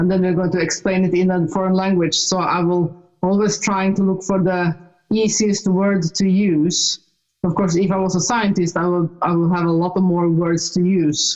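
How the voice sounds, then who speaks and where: A woman with a Norwegian accent, medium pitch, monotone, flat intonation, very even loudness and a moderate pace. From Norway. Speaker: author and speaker, ET experiencer. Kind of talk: casual chat. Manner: halting.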